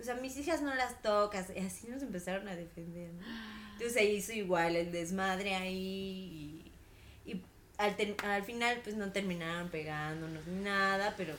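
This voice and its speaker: In a room with audible echo, a woman with a Mexican accent talks at a fairly slow pace, with medium pitch and ordinary pitch variation. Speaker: podcast co-host. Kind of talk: casual chat.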